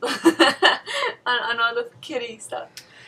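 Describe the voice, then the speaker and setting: A woman with a fairly high pitch talks at a fairly slow pace. Noticeable background noise runs underneath. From Mexico, moved to US at eight. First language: Spanish. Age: 20s. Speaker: bride-to-be. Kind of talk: casual interview.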